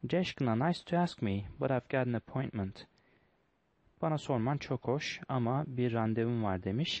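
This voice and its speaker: This man has a normal speaking voice at a medium pitch, talking at a fairly slow pace with very even loudness and ordinary pitch variation. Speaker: English teacher solving test questions. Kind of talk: tutorial.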